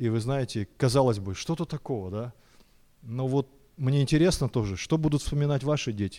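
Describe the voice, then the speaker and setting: With a dark, mellow tone and medium pitch, a man speaks at a moderate pace with ordinary pitch variation on a very clean recording with a silent background. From Kazakhstan, Almaty. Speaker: bishop. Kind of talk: sermon. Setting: church.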